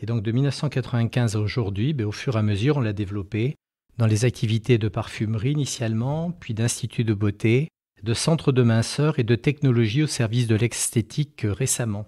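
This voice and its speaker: On a very clean recording, dry and close with no echo and a silent background, a man at medium pitch speaks fairly quickly in a somewhat breathy, dark, mellow tone with ordinary pitch variation. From France, Périgord (Dordogne). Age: 60s. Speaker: company founder and CEO. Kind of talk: interview. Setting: company headquarters. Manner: hesitant, many fillers.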